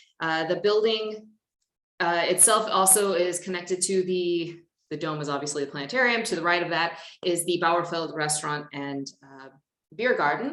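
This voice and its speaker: Moderate pace and ordinary pitch variation from a woman with a fairly low pitch and an American accent, plus big swings in loudness and audible room echo. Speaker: conference presenter. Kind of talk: conference presentation.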